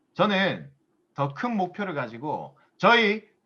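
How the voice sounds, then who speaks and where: The man's pitch swings very widely as he speaks. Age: 30s. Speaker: business seminar speaker. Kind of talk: motivational lecture.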